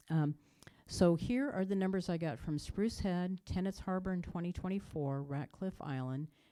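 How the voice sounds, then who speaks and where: A woman speaks in a dark, mellow tone. Her voice is fairly low, with ordinary pitch variation. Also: moderate pace. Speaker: water chemistry scientist. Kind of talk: informational presentation. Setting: public meeting, also on video call.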